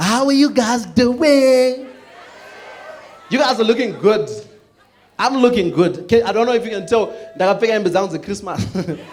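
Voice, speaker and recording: Noticeable background noise and audible room echo surround a man with an extremely high pitch. His pitch varies in an ordinary way, and he leaves long, frequent pauses. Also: moderate pace. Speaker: comedian. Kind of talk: stand-up. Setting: stage with audience.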